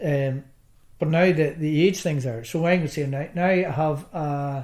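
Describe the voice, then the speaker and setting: A man with a Northern Irish accent, fairly high in pitch, with fairly even intonation and a fairly slow pace. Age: 60s. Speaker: darts player, cancer survivor. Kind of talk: interview. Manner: halting.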